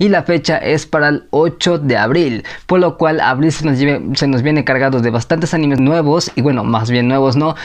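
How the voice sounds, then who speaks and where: With ordinary pitch variation, a man speaks at a moderate pace over a quiet background. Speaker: anime news youtuber. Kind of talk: casual vlog chat. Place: home room. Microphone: lapel.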